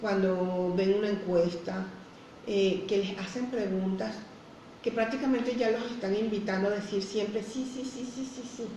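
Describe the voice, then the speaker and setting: A woman with a fairly high pitch and ordinary pitch variation speaks at a fairly slow pace, with audible room echo and noticeable background noise. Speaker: entrepreneurship consultant. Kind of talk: educational talk on live radio show.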